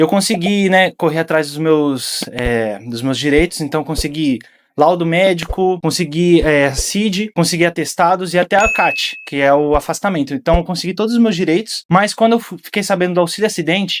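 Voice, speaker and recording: At a moderate pace and with hardly any pauses, a man talks in a high pitch with ordinary pitch variation. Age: 30s. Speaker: university professor. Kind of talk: heated debate.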